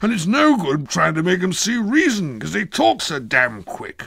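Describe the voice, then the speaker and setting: In a hoarse put-on character voice, the speaker moves at a moderate pace with very wide pitch swings. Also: man, high pitch for a man. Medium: read story. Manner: hoarse, flustered.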